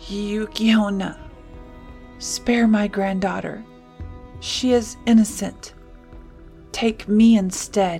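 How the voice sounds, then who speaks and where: A shaky, fairly high put-on character voice moves at a very slow pace with long, frequent pauses. Clear music plays in the background. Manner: pleading, fearful.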